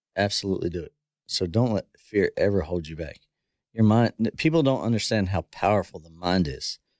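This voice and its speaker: A man with an American accent speaks at a fairly quick pace in a fairly low voice, with an unremarkable speaking voice and lively intonation, his loudness swinging widely. The recording is very clean and dry, close with no echo, over a silent background. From US, south central Pennsylvania. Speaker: former bull rider and horse trainer. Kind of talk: casual podcast interview.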